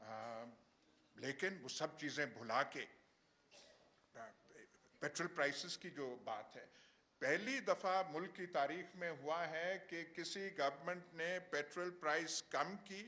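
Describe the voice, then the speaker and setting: A man speaks in a high pitch with a bright, sharp tone. His intonation is lively, and his loudness swings a lot. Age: 70s. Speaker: seminar speaker. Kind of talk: public speech. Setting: seminar hall. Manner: halting, many filler sounds.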